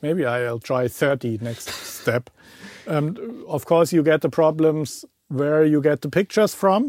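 With a German accent, a man talks at a fairly slow pace with long, frequent pauses, a fairly high pitch and ordinary pitch variation, in a dry, close sound with no echo. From Germany. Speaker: podcast host and audio producer. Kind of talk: casual chat.

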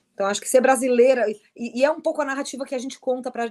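A woman is speaking. Her pitch is high. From southern Brazil, Criciúma (Santa Catarina). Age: 40s. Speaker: writer and editor on gender and sport. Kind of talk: online panel discussion.

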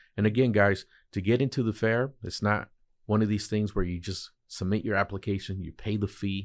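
A man with an American accent and an ordinary speaking voice talks at a fairly quick pace in a fairly low pitch, his intonation fairly even, on a very clean recording with a silent background. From Oxnard, California. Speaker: entrepreneur. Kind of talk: interview.

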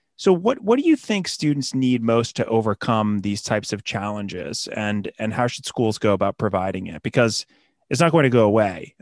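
A man speaks at a fairly quick pace in a medium pitch, with ordinary pitch variation and a plain, everyday voice. The sound is dry and close with no echo, over a quiet background. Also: hardly any pauses. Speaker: podcast host. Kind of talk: interview.

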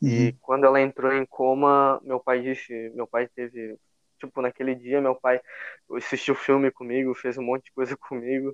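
A man's medium-pitched voice in a southern Brazilian accent, monotone and flat at a moderate pace, with a dry, close sound, no echo and a quiet background. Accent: gaúcho Brazilian Portuguese. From southern Brazil, Rio Grande do Sul (São Leopoldo). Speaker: churchgoer sharing his faith story. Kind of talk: faith testimony in casual conversation.

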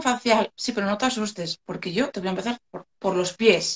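At a moderate pace, a plain, everyday voice speaks. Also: woman. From Asturias, Spain (Gijón). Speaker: beautician. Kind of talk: live stream interview. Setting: Instagram live video call.

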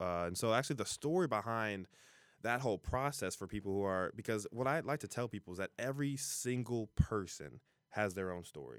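An unremarkable speaking voice from a man with an American accent, fairly low in pitch, with lively intonation at a fairly quick pace, in a very clean recording with a silent background and a dry, close sound with no echo. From US Midwest (Ohio, Cincinnati area). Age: 20s. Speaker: author and college student. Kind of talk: casual interview chat.

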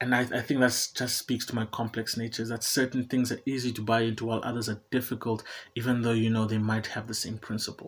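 A man's somewhat breathy voice at a medium pitch. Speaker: podcast host, psychology graduate, poet and stand-up comedian. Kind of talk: solo podcast intro, casual monologue. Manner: rambling, chatty, self-deprecating; anxious, animated.

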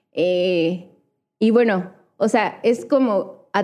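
An ordinary speaking voice from a woman, its pitch rising and falling in an ordinary way. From Hidalgo, central Mexico. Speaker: visual artist. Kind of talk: casual interview.

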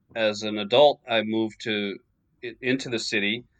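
With an American accent, a man speaks at a moderate pace. His pitch varies in an ordinary way. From New York suburbs, US. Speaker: author of a basketball book. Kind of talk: interview.

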